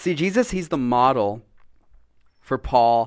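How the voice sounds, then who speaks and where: The delivery moves at a fairly slow pace. The intonation is lively. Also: man. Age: 30s. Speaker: pastor. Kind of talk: sermon. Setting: church.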